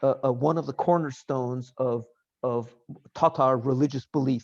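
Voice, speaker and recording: A man in a New York accent talks fairly slowly. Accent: American, New York. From US, New York. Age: 60s. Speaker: professor. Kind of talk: lecture. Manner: halting.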